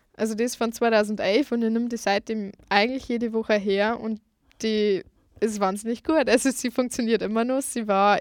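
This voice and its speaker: The recording is very clean with a silent background, carrying a woman's a plain, everyday voice at a fairly high pitch, fairly even in intonation and moderate in pace. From Lower Bavaria, Germany. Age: 20s. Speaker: food blogger and student. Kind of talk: radio interview. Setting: studio.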